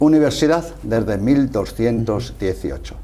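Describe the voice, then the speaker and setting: Noticeable background noise and audible room echo surround a man speaking with a Castilian accent. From Spain, Salamanca. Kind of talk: interview.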